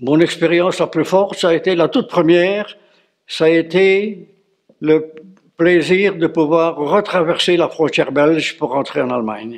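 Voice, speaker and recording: This man has a high pitch and ordinary pitch variation. He speaks fairly slowly. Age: 90s. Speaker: war veteran. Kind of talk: interview. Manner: halting, frequent hesitations.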